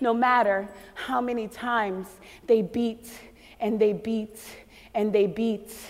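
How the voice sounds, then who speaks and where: Speaking very slowly in a monotone, flat intonation, a woman with a Haitian accent leaves long, frequent pauses. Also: fairly high pitch for a woman. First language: Haitian Creole. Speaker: spoken word poet. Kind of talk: spoken word performance.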